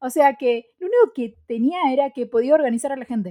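At a fairly quick pace, a woman with a high voice swings her pitch very widely, recorded dry and close with no echo. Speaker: podcast co-host. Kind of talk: casual chat. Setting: studio.

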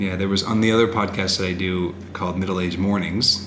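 A man speaks with a very deep, low pitch in a monotone, flat delivery. Noticeable background noise runs underneath. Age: 30s. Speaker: podcast co-host, husband. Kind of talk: casual chat. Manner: loud.

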